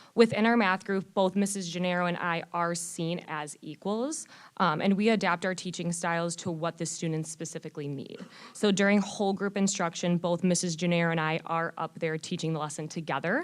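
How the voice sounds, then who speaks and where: A woman speaks fairly quickly at a fairly low pitch. The recording is very clean, with a silent background. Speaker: teacher. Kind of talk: presentation to school board. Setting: board meeting with microphone. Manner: loud; animated.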